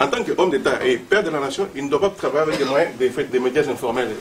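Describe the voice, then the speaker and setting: Through noticeable background noise, a man with a fairly high pitch rushes along at a very fast pace with lively intonation. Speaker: party member at association launch. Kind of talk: public meeting speech. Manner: halting, many fillers.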